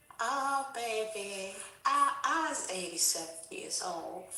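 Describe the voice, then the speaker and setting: A woman uses a put-on character voice, fairly high in pitch. She speaks at a fairly slow pace, with a slight echo around her. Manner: sweet, quavering.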